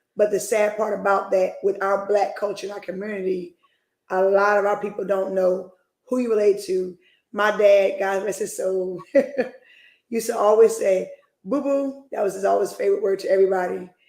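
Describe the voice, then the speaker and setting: Her medium-pitched voice keeps a monotone, flat intonation as this woman talks at a moderate pace. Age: 40s. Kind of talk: casual chat.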